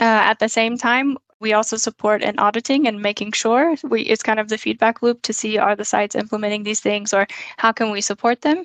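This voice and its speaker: A woman with an American accent and a plain, everyday voice talks at a fairly quick pace in a fairly high pitch, her intonation fairly even, in a dry, close sound with no echo. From United States. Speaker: occupational hygienist. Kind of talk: interview.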